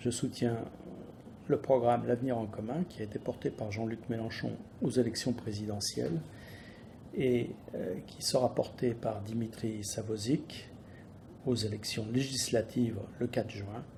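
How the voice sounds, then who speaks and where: A man speaks at a fairly slow pace and medium pitch, with long, frequent pauses. His dark, mellow tone carries vocal fry and ordinary pitch variation. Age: 60s. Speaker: business owner. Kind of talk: political statement. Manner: halting.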